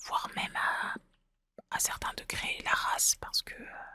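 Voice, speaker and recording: Someone is whispering. The pace is very slow. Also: woman. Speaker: ASMR gaming content creator. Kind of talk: casual gameplay commentary to camera. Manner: soft-spoken, hesitant, thoughtful.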